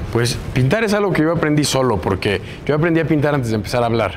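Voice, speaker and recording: Noticeable background noise fills the clip. Through it, a man talks very fast, his pitch varying in an ordinary way. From Mexico, Puebla. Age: 20s. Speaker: muralist. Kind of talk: interview.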